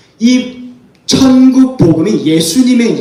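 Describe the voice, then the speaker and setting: Over noticeable background noise and audible room echo, the voice sounds animated, with ordinary pitch variation. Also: man. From North Korea. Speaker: North Korean defector speaker. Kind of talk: sermon-style testimony talk.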